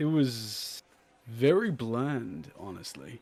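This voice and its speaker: A man puts on a character voice at a medium pitch. He talks at a very slow pace. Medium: actual play. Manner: terse, understated.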